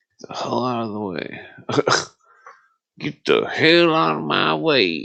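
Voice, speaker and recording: Using a put-on character voice, a raspy man of medium pitch talks at a fairly slow pace, with very wide pitch swings and big swings in loudness. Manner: irritated, gruff.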